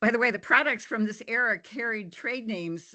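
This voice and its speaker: Over a quiet background, a woman speaks in a bright, sharp tone. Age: 70s. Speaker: public commenter, retired kindergarten teacher. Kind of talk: public comment testimony at a hearing.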